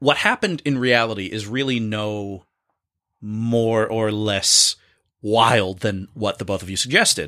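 A man speaks fairly slowly with a North Jersey accent, at medium pitch and with ordinary pitch variation. His tone is animated, bright and sharp, on a very clean recording with a silent background. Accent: North Jersey American. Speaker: improviser and actor guest. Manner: jokey, animated.

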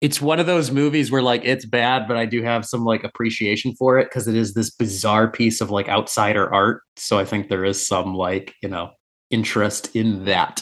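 A man with an ordinary speaking voice talks at a moderate pace and medium pitch, with ordinary pitch variation. There are hardly any pauses, and the background is quiet. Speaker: podcast co-host. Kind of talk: casual banter, comedic chat.

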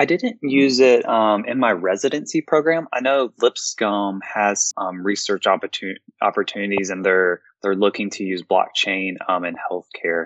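A man with an American accent talks in an ordinary speaking voice at a fairly low pitch. His intonation is lively, the pace moderate, with hardly any pauses. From US South, Memphis, Tennessee. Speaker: informatics pharmacist. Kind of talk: interview.

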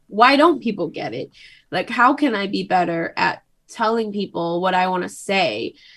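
This woman has a medium-pitched voice with vocal fry. Her pitch swings very widely. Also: moderate pace. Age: 20s. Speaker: podcast guest. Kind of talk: casual chat.

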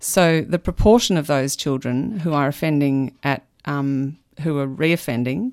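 Very deep and low in pitch, a woman speaks in an Australian accent with ordinary pitch variation. She goes at a fairly slow pace on a very clean recording with a silent background. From Melbourne, Australia. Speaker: criminology researcher. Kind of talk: radio interview. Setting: radio studio.

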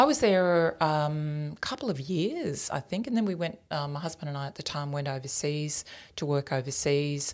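In an Australian accent, a woman speaks at a moderate pace with a very deep, low pitch and ordinary pitch variation. The recording is very clean, with a silent background. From rural New South Wales, Australia. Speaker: business executive, former broadcaster. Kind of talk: interview.

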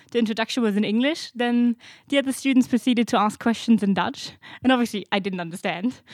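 In a very clean recording with a silent background and a dry, close sound with no echo, a woman talks at a very fast pace in a fairly high pitch with ordinary pitch variation. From Germany. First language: German. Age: 20s. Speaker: master's student. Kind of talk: casual interview.

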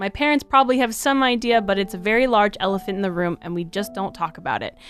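Against noticeable background noise, a woman talks at a fairly quick pace with a fairly high pitch and very wide pitch swings. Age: 20s. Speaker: podcast co-host. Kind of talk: casual chat. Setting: same room.

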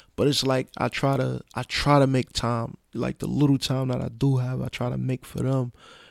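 A man with an American accent and medium pitch speaks with monotone, flat intonation and hardly any pauses, in a dry, close sound with no echo. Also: moderate pace. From Brooklyn, New York (Brownsville, East New York). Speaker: social worker, formerly incarcerated father. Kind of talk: casual chat.

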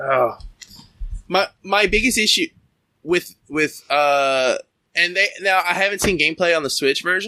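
A man's bright, sharp voice, high in pitch with ordinary pitch variation, at a fairly slow pace with very even loudness and long, frequent pauses. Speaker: podcast host interviewing a guest. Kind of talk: casual interview chat.

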